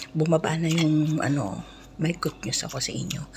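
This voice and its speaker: The voice is quiet and moves at a moderate pace over noticeable background noise. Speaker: overseas domestic worker vlogger. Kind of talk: mukbang vlog. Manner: quiet voice-over.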